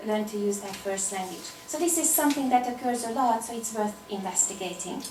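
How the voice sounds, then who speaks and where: A woman with a Hungarian accent speaks at a high pitch and moderate pace with lively intonation, amid noticeable background noise and audible room echo. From Hungary. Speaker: applied linguistics researcher. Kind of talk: academic conference talk.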